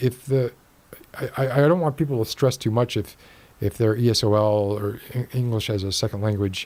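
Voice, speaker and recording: The man's voice is somewhat breathy. He speaks at a fairly quick pace. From Miami, Florida. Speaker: podcast host. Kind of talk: casual chat.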